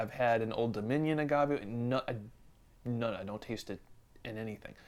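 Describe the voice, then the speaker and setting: The recording is very clean, with a silent background. A man with an American accent speaks at a moderate pace. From Western New York State, Buffalo area. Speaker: guest beer enthusiast. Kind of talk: casual chat.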